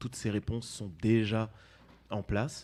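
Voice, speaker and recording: The man's voice has a medium pitch and a dark, mellow tone. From Martinique. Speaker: dance company co-founder. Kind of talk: interview.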